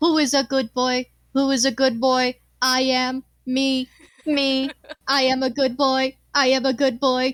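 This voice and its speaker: Speaking at a fairly slow pace, a female-sounding put-on character voice sounds robotic, with a high pitch and monotone, flat intonation. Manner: repetitive, cheerful.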